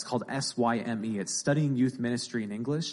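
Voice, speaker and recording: An unremarkable speaking voice from a man, medium in pitch, with ordinary pitch variation and a fairly quick pace. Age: 20s. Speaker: young Bible school graduate speaking at church. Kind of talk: sermon-style interview.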